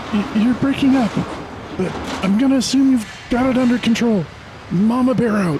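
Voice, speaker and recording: A put-on character voice, fairly high in pitch, at a moderate pace over clear background noise. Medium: read story. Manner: laid-back, halting.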